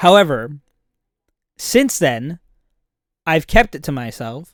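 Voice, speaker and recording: Delivered at a very slow pace, the speech comes through on a very clean recording with a silent background. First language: not English. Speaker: streamer. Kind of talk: casual chat. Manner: halting.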